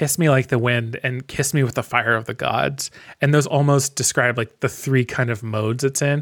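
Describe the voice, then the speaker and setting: In an unremarkable speaking voice, a man talks at a moderate pace and medium pitch with fairly even intonation. The recording is very clean, with a silent background. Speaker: podcast host. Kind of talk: casual chat.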